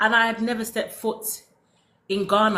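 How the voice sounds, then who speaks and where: A woman's bright, sharp tone in a London accent. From London, England. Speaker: former cosmetic science consultant, soap-making teacher. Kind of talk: casual interview chat.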